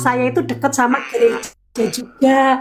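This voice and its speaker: A woman's fairly high voice over background music. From Cilacap, Central Java, Indonesia. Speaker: caller, convert from Islam to Christianity. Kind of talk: testimony.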